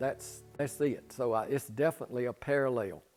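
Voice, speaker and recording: With music playing in the background, a man talks in a Southern US accent. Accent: Southern US (Georgia). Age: 70s. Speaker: pole vaulter and retired coach. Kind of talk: interview.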